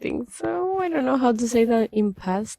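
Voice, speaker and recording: A woman speaks with a Spanish accent. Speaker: language-learning vlogger. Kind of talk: casual video diary. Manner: halting, hesitant.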